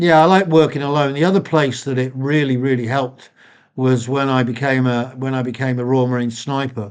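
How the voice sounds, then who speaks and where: Speaking in a British accent, a man with a medium pitch talks at a fairly quick pace with fairly even intonation against a quiet background. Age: 60s. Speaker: former special forces soldier. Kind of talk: interview.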